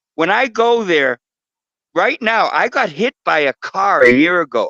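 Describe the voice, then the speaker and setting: With an animated, bright and sharp tone, a man raises and projects his voice. His pitch swings very widely at a moderate pace. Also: dry, close sound with no echo. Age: 70s. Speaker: guest on spiritual talk show. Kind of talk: casual chat.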